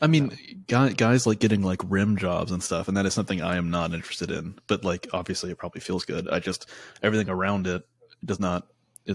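Recorded very cleanly with a silent background and a dry, close sound free of echo, a man speaks in a normal speaking voice at a fairly low pitch with ordinary pitch variation. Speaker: podcast host. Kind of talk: casual chat. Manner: laughs often, joking.

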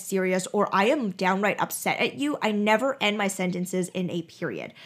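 A woman with a plain, everyday voice and medium pitch talks at a moderate pace. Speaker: podcast host. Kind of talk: solo podcast monologue, casual.

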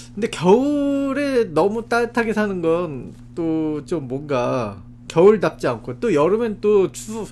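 Very wide pitch swings at a very slow pace. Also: man, high pitch for a man. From South Korea. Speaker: podcast co-host. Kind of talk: casual chat.

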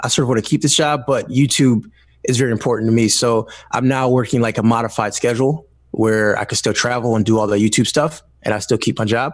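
Speech comes at a very fast pace in an American accent. Loudness stays very even and intonation fairly even. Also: man, medium pitch for a man. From Detroit, Michigan. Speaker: tech YouTuber. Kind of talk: casual interview chat.

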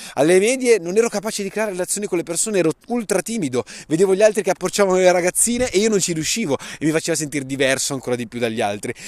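The delivery is very fast and animated. Pitch swings very widely throughout. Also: man, dry, close sound with no echo. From northern Italy, Lombardy (Saronno). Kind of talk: motivational monologue.

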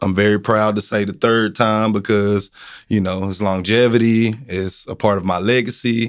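In a very clean recording with a silent background, a man talks at a moderate pace and fairly low pitch with monotone, flat intonation. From Texas, Corsicana. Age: 30s. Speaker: dog show organizer. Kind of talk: interview.

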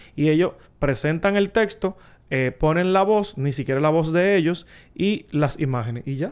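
Using an ordinary speaking voice, a man speaks at a fairly high pitch and a moderate pace with lively intonation. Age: 30s. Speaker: tech content creator. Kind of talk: casual chat.

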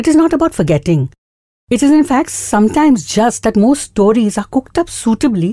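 A somewhat breathy voice with a dark, mellow tone moves at a fairly quick pace through very wide pitch swings. The sound is dry and close, with no echo, on a very clean recording with a silent background. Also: woman. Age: 60s. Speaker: podcast host. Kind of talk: monologue.

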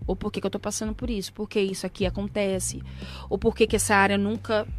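Over music in the background, a woman is talking. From São Paulo, Brazil. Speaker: gospel singer. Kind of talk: casual chat.

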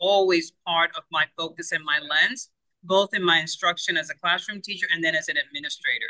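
A woman with a Spanish accent at medium pitch, with ordinary pitch variation, a bright, sharp tone, a moderate pace and dry, close sound with no echo. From Cuba. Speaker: education consultant. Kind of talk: interview conversation.

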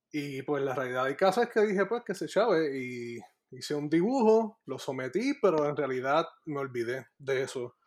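Using a normal speaking voice, a man with fairly high pitch talks at a moderate pace with lively intonation. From Puerto Rico. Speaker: graphic artist. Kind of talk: casual chat.

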